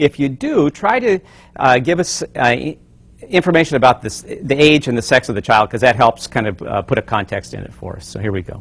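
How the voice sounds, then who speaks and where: A man's fairly high voice at a fairly quick pace, with very wide pitch swings and big swings in loudness. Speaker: family counselor. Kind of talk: lecture. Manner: fast.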